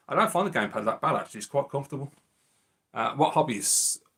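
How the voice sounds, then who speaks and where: The speaker has a Birmingham accent and lively intonation. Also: man. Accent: Birmingham (Brummie). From Birmingham, England. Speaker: retro gaming YouTuber. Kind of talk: casual live-stream chat. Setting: live stream.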